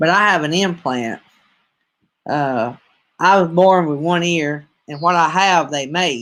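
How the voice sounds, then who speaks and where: Someone with a strong Southern US accent speaks at a fairly slow pace with long, frequent pauses. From US South, North Alabama. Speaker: streamer and preacher. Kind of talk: casual live-stream chat.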